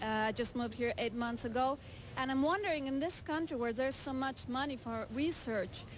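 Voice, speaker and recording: A woman speaks at a fairly quick pace with a Spanish accent, her pitch high. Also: ordinary pitch variation. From Mexico. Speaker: audience member. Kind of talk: audience question in TV debate. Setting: TV studio with audience.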